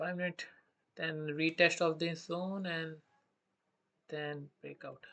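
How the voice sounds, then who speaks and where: In an Indian accent, the voice moves at a very slow pace. Long pauses come often. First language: Hindi. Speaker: day trader streaming live trades. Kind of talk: live trading commentary. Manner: thinking aloud with hesitations; halting non-fluent English.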